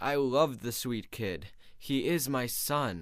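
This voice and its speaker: Soft-spoken yet growling, a man does a put-on character voice at medium pitch, speaking at a fairly slow pace with lively intonation. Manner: soft, quiet.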